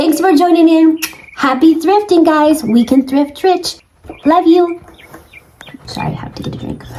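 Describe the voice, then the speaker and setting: Over noticeable background noise, a woman with an extremely high, squeaky voice talks at a moderate pace with ordinary pitch variation, big swings in loudness and long, frequent pauses. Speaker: thrifting vlogger. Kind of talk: casual vlog talk to camera. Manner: animated.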